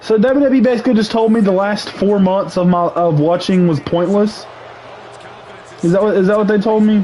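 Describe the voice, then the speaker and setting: Shouting at a high pitch and a fairly quick pace, a man has an animated tone, ordinary pitch variation, and very even loudness over noticeable background noise. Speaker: gaming livestreamer and wrestling commentator. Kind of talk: casual livestream rant. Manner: loud, yelling; animated, repetitive stammering.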